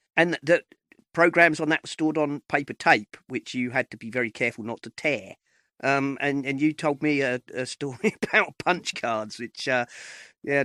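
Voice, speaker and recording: In a very clean recording with a silent background and a dry, close sound with no echo, a man speaks with an English accent. His fairly high voice has a bright, sharp tone, ordinary pitch variation and a moderate pace. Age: 50s. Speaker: podcast host. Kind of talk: interview conversation. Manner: halting, many fillers.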